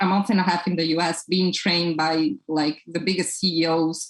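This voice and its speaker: In a Portuguese accent, a woman with a fairly low pitch talks at a fairly quick pace with fairly even intonation. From Brazil. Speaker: toy company founder. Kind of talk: podcast interview.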